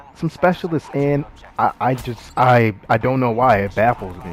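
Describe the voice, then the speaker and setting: The voice has lively intonation and an animated tone. Noticeable background noise is present. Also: man. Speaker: gaming YouTuber. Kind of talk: gameplay commentary. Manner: fast.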